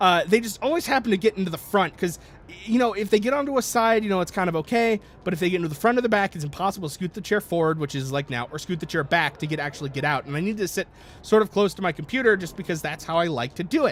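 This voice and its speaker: Loud, very fast speech with lively intonation. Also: man, high pitch for a man. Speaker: gaming YouTuber. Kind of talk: let's play commentary. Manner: halting, many fillers and restarts.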